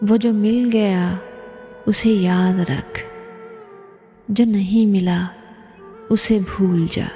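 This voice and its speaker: A soft-spoken woman with a gentle tone and fairly even intonation talks over music in the background. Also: medium pitch for a woman. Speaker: poetry reciter. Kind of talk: poetry reading. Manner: soft, gentle pace; emotional.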